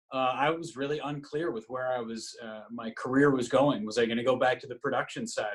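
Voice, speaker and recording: A man speaks at a moderate pace and medium pitch in an unremarkable speaking voice. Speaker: radio play-by-play broadcaster. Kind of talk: interview answer.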